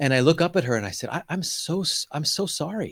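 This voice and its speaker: Vocal fry and very wide pitch swings at a moderate pace, in a very clean recording with a silent background. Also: man. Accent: American. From California. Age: 40s. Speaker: street evangelist. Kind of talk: testimony.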